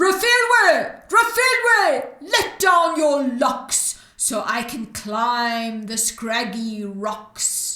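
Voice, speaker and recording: In a put-on character voice with a high pitch, a woman speaks at a very slow pace with hardly any pauses and a slight echo. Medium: read story.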